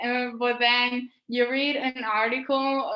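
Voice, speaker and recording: A woman with a Spanish accent speaks in a fairly high voice with a bright, sharp tone. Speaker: medical student, science social media creator. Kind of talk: interview. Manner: halting.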